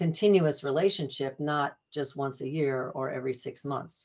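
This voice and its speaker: This woman has a very deep, low voice. Her pitch varies in an ordinary way. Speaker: nurse practitioner, women's health. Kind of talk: casual interview conversation. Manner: fast talker, says she tends to talk too fast.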